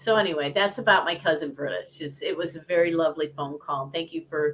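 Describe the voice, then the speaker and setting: A woman with a normal speaking voice talks in an American accent at a fairly low pitch. Her intonation is lively and her pace fairly quick. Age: 60s. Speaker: piano teacher. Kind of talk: casual chat.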